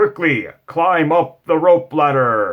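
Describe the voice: Shouting in a put-on character voice, a man speaks very slowly at a high pitch.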